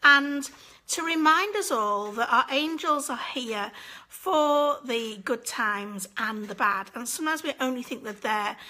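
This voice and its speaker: A woman with a British accent speaks in a high pitch, her bright, sharp tone carrying ordinary pitch variation. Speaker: angel medium hosting live session. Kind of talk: live stream chat with viewers. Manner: casual, chatty.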